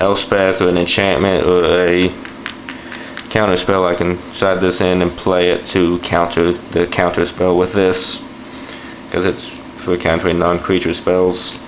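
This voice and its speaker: Over noticeable background noise and audible room echo, a man with a very deep, low pitch talks at a fairly slow pace, with long, frequent pauses, monotone, flat intonation and very even loudness. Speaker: card game video host. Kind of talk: tutorial. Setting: home bathroom floor. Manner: fluctuating volume. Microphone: camera recording, poor quality.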